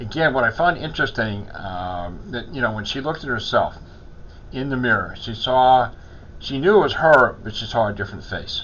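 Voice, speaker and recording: A man's ordinary speaking voice at a medium pitch, with lively intonation, big swings in loudness and a moderate pace. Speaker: chaplain. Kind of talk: casual talk to camera.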